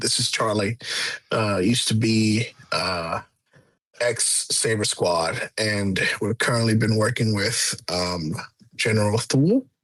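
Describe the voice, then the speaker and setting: In a put-on character voice, a man sounds raspy at a medium pitch, speaking at a fairly slow pace with very even loudness. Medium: actual play.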